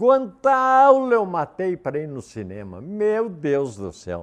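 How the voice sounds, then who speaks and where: A man talks with very wide pitch swings. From southern Brazil, Erechim, Rio Grande do Sul. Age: 70s. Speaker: local elder sharing memories. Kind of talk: reminiscing interview.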